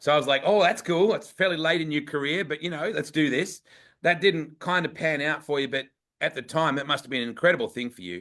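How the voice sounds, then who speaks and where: In an Australian accent, a man speaks at a very fast pace with a fairly high pitch and ordinary pitch variation. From Western Australia. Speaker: racing show host. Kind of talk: casual chat. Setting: livestream.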